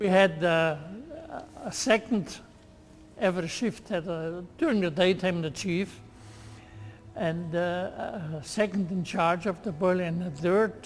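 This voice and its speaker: Over music in the background, a man speaks at a fairly slow pace with long, frequent pauses. His pitch is high and his intonation fairly even. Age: 80s+. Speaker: retired stationary engineer. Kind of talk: interview recollection.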